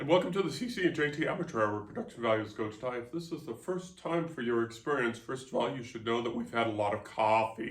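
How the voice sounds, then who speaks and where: Talking at a very fast pace with hardly any pauses, a man uses a medium pitch and lively intonation. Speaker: podcast host and author. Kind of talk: casual chat.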